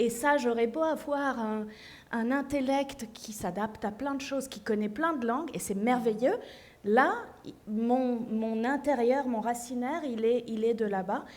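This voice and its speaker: A woman's high-pitched voice at a fairly slow pace, with ordinary pitch variation and audible room echo. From Syria, childhood partly in Paris and abroad. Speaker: author. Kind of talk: panel discussion.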